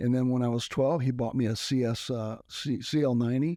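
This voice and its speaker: A man with a Texan accent talks fairly quickly at medium pitch, dark and mellow in tone and flat in intonation, over a quiet background. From South Texas (McAllen). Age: 60s. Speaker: retired motocross racer and minister. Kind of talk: interview.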